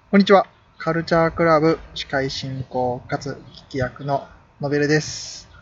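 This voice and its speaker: This man has an ordinary speaking voice with fairly high pitch. He keeps a moderate pace and ordinary pitch variation. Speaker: podcast host. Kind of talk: casual chat.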